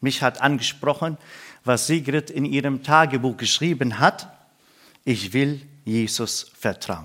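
With a Middle Eastern accent, this speaker talks at a very slow pace with long, frequent pauses and ordinary pitch variation, on a very clean recording with a silent background. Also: man, fairly high pitch for a man. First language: Aramaic (speaking German). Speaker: pastor and missionary. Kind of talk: sermon. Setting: church service.

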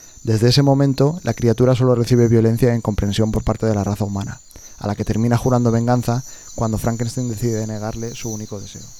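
Very fast male speech at medium pitch, monotone and flat in intonation, with a dark, mellow tone. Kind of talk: dramatic narration of a gothic tale, promo. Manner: solemn, suspenseful, measured; formal, storytelling cadence.

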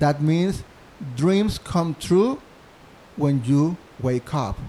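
A man speaks with a Mexican accent, his dark, mellow tone somewhat breathy and his intonation lively. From Mexico, Monterrey. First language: Spanish. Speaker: musical theater composer. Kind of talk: interview. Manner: halting.

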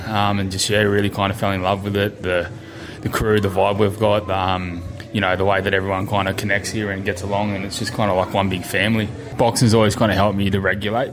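In an Australian accent, a man speaks at fairly low pitch and a very fast pace with monotone, flat intonation, with music in the background and audible room echo. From New South Wales South Coast. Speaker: amateur boxer. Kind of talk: interview monologue.

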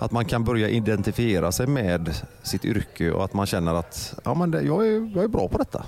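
A man talks at a moderate pace and medium pitch. Noticeable background noise runs behind him. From Gothenburg. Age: 40s. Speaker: radio host. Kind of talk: casual chat.

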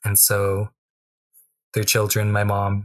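Somewhat breathy speech at a moderate pace in a western Canadian accent, on a very clean recording with a silent background. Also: man. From Tsuut'ina reserve near Calgary, Alberta, Canada. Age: 20s. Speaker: First Nations activist. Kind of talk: radio interview.

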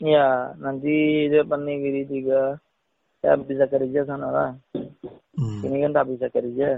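Speaking in a Rakhine accent, a man keeps a fairly high pitch and a monotone, flat intonation at a fairly slow pace. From Myanmar, Rohingya. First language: Rohingya (speaking Indonesian). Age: 40s. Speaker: refugee. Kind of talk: interview. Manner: halting.

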